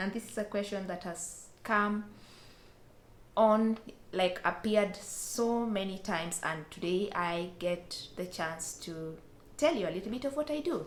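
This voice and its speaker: A woman with a medium pitch talks at a fairly slow pace, with audible room echo around her voice. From Western Kenya. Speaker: vlogger. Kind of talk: casual Q&A vlog.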